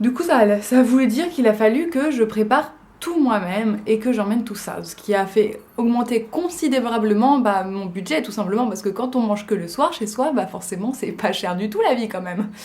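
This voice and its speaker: Her fairly high voice moves with lively intonation at a moderate pace, with hardly any pauses. This woman is heard with audible room echo and noticeable background noise. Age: 20s. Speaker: vlogger. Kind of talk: casual vlog talk. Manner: hesitant, many fillers.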